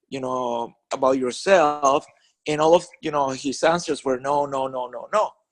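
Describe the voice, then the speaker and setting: A man with a Spanish accent speaks at a fairly slow pace and a fairly high pitch, keeping his intonation fairly even. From Venezuela. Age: 40s. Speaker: network marketing leader and author. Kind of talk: conference call interview. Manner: halting, many fillers and restarts.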